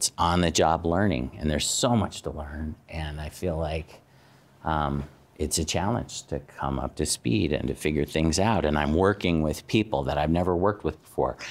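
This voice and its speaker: With an American accent, a man talks at a fairly slow pace in a very deep, low pitch marked by vocal fry. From Arizona, US Southwest. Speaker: university dean; guest. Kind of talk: personal talk to students; talk to a class, personal story. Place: classroom.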